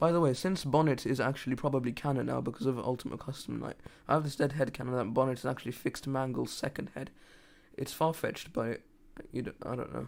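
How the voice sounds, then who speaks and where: This speaker has a British accent. The delivery is very fast. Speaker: gaming livestreamer. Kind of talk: casual livestream chat. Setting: live stream. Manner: halting, frequent stammering and restarts.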